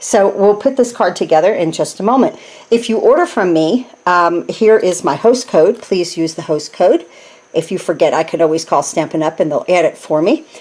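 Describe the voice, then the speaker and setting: A woman with an American accent talks at a moderate pace and a medium pitch. Her intonation is lively, and there is noticeable background noise. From New Jersey. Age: 60s. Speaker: craft demonstrator. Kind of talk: tutorial. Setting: home craft room. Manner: casual, chatty with filler words.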